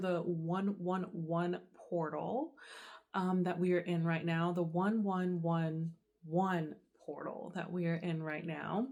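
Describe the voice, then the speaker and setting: The woman is soft-spoken. Her pitch sits in the medium range. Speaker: tarot reader. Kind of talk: channeled tarot reading to camera. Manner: casual with many fillers.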